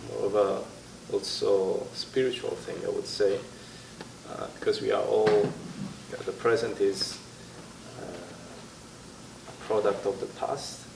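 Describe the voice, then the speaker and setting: A man with an Italian accent at a very slow pace, with long, frequent pauses, noticeable background noise and audible room echo. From Italy. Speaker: interviewee. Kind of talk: interview. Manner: halting.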